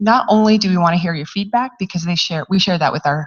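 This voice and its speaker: Somewhat breathy, a woman talks at a fairly low pitch with ordinary pitch variation. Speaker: university outreach organizer. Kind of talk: event announcements.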